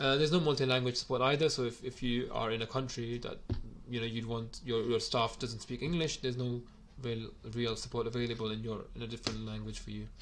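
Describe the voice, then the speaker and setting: Here a man talks at a medium pitch with fairly even intonation. He speaks at a very fast pace. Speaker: gym owner reviewing software. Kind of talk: software review video. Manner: hesitant, many fillers.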